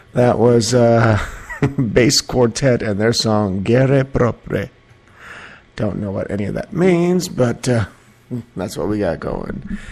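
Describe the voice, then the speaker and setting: Amid noticeable background noise, a man with a medium-pitched voice and lively intonation speaks at a very slow pace with long, frequent pauses. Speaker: internet radio host. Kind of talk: casual solo talk show. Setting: live online broadcast. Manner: mellow, low energy; halting, many fillers.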